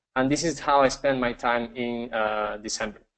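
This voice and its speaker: A medium-pitched male voice with a Spanish accent and fairly even intonation. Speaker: webinar presenter. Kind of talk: live webinar presentation. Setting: live online broadcast with screen share. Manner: halting, many fillers.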